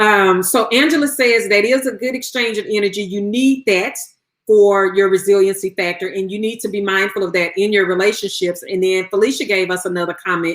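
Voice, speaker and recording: This woman talks at a fairly quick pace with a medium pitch and ordinary pitch variation. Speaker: therapist giving self-care tips. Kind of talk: live stream talk to viewers. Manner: fast.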